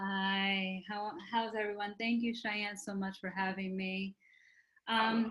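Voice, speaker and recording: In a Spanish accent, a woman speaks very slowly at a medium pitch with monotone, flat intonation. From New York City, Puerto Rican family. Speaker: physician. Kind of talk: panel talk.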